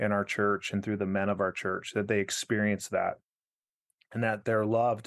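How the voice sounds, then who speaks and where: Against a quiet background, a man with a fairly low pitch speaks at a moderate pace in a flat, monotone intonation with very even loudness. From Arizona. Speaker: pastor. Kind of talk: casual interview.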